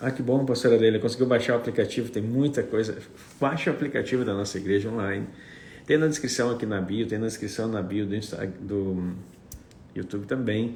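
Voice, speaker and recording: A man talks at a fairly quick pace in a medium-pitched, somewhat breathy voice with ordinary pitch variation. Room echo is audible. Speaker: apostle / preacher. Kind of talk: livestream chat before teaching.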